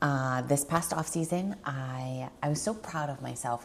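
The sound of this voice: A woman speaks with vocal fry and a slightly mellow tone. Her pace is fairly slow.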